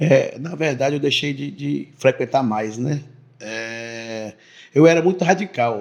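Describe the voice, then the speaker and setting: A man at a medium pitch, very slow in pace, with big swings in loudness. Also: ordinary pitch variation. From Bahia, Brazil (Teixeira de Freitas). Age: 30s. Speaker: businessman and local politician. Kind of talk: interview testimony. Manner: halting, repeats words.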